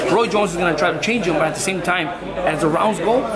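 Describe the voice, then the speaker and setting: A man talking at a very fast pace with ordinary pitch variation, crowd noise in the background. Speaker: boxing trainer. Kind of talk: interview answer.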